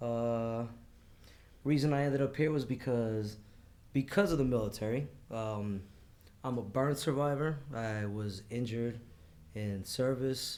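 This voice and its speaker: At a fairly slow pace, a man with a New York accent speaks with long, frequent pauses. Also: medium pitch for a man, ordinary pitch variation. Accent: New York accent, still there. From New York City, Queens. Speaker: Marine Corps veteran, burn survivor. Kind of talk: casual podcast interview. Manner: loud, voice carries.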